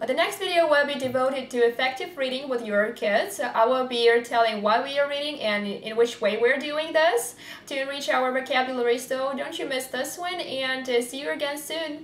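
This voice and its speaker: A woman's high-pitched voice with a non-native accent, ordinary pitch variation, a fairly quick pace and hardly any pauses, plus noticeable background noise and audible room echo. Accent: non-native English, self-described imperfect. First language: Russian. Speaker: vlogger, parent raising bilingual kids. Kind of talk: vlog address to camera. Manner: hesitant, frequent uh fillers.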